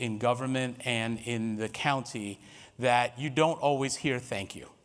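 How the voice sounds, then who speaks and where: A man with an American accent talks on a very clean recording against a silent background. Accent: New York, noticeable at times. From New York City, Harlem. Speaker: workshop facilitator. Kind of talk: workshop presentation.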